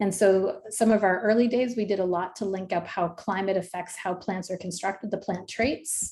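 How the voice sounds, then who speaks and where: The tone is dark and mellow, and somewhat breathy. Intonation stays fairly even. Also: woman. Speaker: professor, ecologist. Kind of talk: lecture. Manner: fast.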